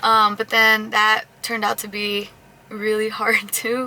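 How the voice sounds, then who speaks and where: A soft-spoken woman with a fairly high pitch, amid noticeable background noise. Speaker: vlogger and news show showrunner. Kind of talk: casual vlog chat.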